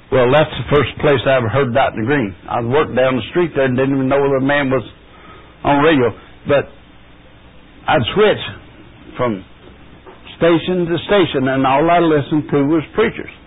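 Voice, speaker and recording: A man talks at a fairly high pitch with ordinary pitch variation. He leaves long, frequent pauses, and there is noticeable background noise. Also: moderate pace. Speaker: guest speaker teaching a Bible lesson. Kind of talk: Bible lesson. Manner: halting.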